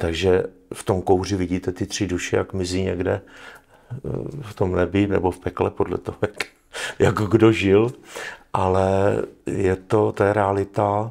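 A man's very deep, low voice, monotone and flat, at a fairly slow pace with long, frequent pauses. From Czech Republic. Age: 60s. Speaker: military analyst. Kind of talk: interview. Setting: studio. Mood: serious, earnest. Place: studio.

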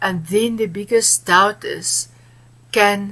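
A woman speaks at a very slow pace. Her voice carries vocal fry. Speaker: guest. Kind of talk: interview answer. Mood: earnest, warm. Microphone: webcam.

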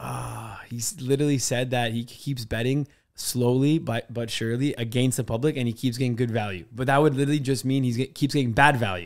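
A man talks at a fairly quick pace with hardly any pauses and fairly even intonation. The background is quiet. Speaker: podcast co-host. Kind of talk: casual chat. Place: studio. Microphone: studio mic.

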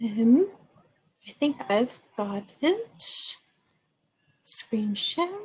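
A woman speaks very slowly at a high pitch, with long, frequent pauses. Her pitch swings very widely. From USA. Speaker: university international office staff. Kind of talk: webinar talk. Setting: video call. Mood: friendly, appreciative. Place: office. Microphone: video call.

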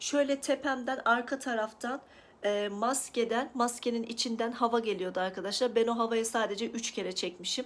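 At a moderate pace, a woman with a plain, everyday voice speaks at a fairly high pitch and with fairly even intonation. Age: 30s. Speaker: lifestyle vlogger. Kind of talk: personal vlog about recovery.

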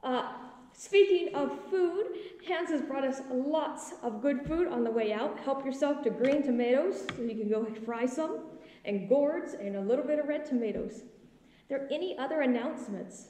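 A woman speaks at a moderate pace in a high pitch. Room echo is audible. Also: lively intonation. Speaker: pastor. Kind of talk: announcements then liturgical reading. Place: church. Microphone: phone near.

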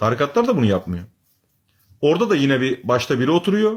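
Fairly quick and animated, a man talks with very wide pitch swings. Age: 30s. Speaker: religious commentator. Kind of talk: live stream talk to viewers.

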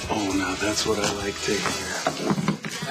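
A man's voice over music in the background. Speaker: actor in drama scene. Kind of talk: scripted dialogue. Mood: sly, amused. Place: studio.

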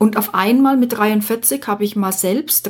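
Very slowly, a woman speaks at a medium pitch with ordinary pitch variation in a very clean recording with a silent background. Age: 50s. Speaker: podcast host, life coach. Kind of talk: solo podcast monologue.

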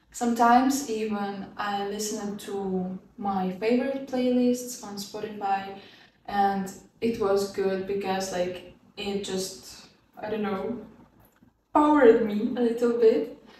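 A woman speaks at a very slow pace with ordinary pitch variation and big swings in loudness. Audible room echo and light background noise are present. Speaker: student vlogger. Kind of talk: casual tutorial vlog. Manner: casual, laughs often. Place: home room.

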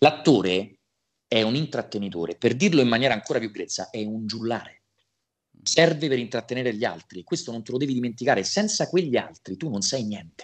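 The pace is fairly quick and the intonation lively. The background stays quiet. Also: man. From Italy. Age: 20s. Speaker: voice actor. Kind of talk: interview. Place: home room. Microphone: video call.

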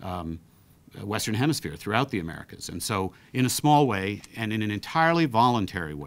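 A normal speaking voice from a man, fairly low in pitch. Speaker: council president. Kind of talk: press briefing statement. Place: meeting room. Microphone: studio mic.

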